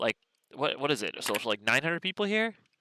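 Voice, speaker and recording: A man's bright, sharp tone with ordinary pitch variation, dry and close with no echo, on a very clean recording with a silent background. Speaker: podcast host. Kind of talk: live podcast chat. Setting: live event with crowd. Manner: less loud and energetic than usual.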